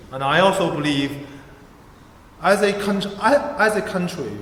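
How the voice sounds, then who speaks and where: A man with a Chinese accent speaks at a fairly slow pace with lively intonation. Audible room echo and noticeable background noise fill the recording. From China. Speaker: election candidate. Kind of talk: campaign speech. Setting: church hustings with audience.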